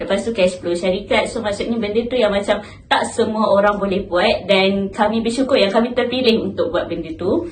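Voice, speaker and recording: A woman's fairly quick, medium-pitched speech with hardly any pauses and ordinary pitch variation, plus audible room echo and noticeable background noise. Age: 20s. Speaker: university intern. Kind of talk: casual interview.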